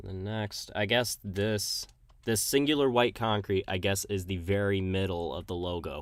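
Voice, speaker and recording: On a very clean recording with a silent background, a man speaks very slowly at a fairly low pitch with ordinary pitch variation. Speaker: gaming streamer. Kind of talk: casual live stream commentary. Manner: halting.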